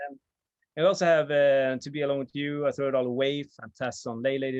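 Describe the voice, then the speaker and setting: At a very fast pace, a man with medium pitch talks with fairly even intonation. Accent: Swedish. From Sweden. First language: Swedish. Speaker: vinyl video channel host. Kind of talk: casual chat. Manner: halting, many fillers.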